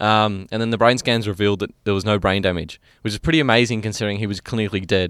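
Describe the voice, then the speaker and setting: Someone in an Australian accent talks at a very fast pace with fairly even intonation on a very clean recording with a silent background. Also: man, fairly low pitch for a man. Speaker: podcast co-host. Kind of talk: casual chat.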